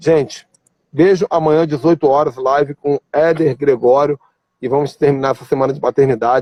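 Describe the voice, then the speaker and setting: A man's fairly high, dark, mellow voice at a moderate pace, with a dry, close sound and no echo. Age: 40s. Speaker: pastor. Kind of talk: casual chat. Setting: video call. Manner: animated.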